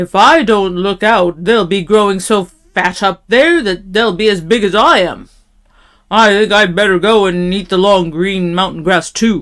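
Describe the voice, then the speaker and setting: On a very clean recording with a silent background, a woman puts on a character voice in a medium pitch at a moderate pace. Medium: read story. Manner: self-assured.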